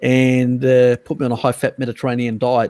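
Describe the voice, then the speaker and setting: Here a man speaks with an Australian accent at a fairly quick pace. The sound is dry and close, with no echo. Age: 50s. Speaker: live stream host on diet and nutrition. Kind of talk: casual chat. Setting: live stream video call. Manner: halting, many fillers.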